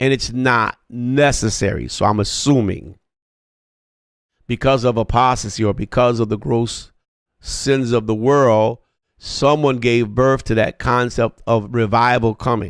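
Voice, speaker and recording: An unremarkable speaking voice goes at a fairly slow pace, with very even loudness and fairly even intonation. The recording is very clean, with a silent background. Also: man, medium pitch for a man. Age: 60s. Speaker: pastor. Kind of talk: sermon.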